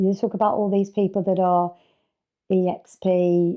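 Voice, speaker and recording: A woman with an English accent. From England, working-class family of Irish parents. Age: 60s. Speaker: estate agent and mentor. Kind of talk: podcast interview. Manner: casual, conversational.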